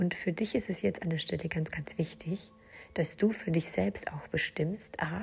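At a fairly slow pace, a woman speaks with a fairly low pitch and a dark, mellow tone. Vocal fry runs through her voice. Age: 40s. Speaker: podcast host and business coach. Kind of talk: solo podcast monologue.

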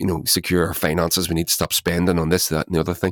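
In a Northern Irish accent, a man speaks with a very deep, low voice, the sound dry and close with no echo. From Northern Ireland. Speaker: musician. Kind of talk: casual chat.

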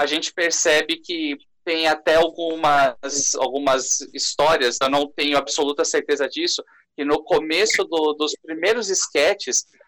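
A man's bright, sharp tone at a high pitch, paced moderately. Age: 20s. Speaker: YouTuber and scriptwriter. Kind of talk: casual chat.

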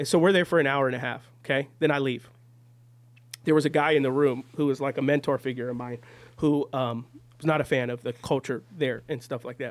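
This man has an unremarkable speaking voice. He talks at a fairly quick pace with fairly even intonation. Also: fairly high pitch for a man. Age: 30s. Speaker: podcast host and church member. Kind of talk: casual chat. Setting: studio.

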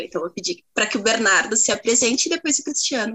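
A woman is speaking. Her pace is very fast. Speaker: student podcast co-host. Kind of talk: casual interview chat.

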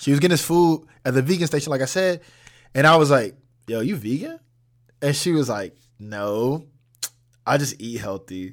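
Fairly high-pitched, a man speaks in an animated tone with lively intonation. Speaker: student podcast host. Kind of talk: casual solo monologue. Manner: fast.

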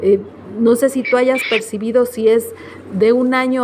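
Speaking at a moderate pace with a fairly high pitch and monotone, flat intonation, a woman is heard over noticeable background noise. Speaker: radio news host. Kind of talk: radio interview and news.

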